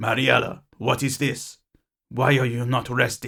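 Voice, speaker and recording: A man puts on a character voice, raspy and medium in pitch. He speaks at a moderate pace. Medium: read story. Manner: cold, controlling.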